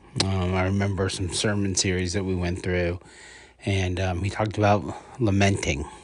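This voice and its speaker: A man talks at a moderate pace in a very deep, low voice with flat, monotone intonation. The room adds audible echo. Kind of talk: casual review podcast monologue. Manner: hesitant, many filler words.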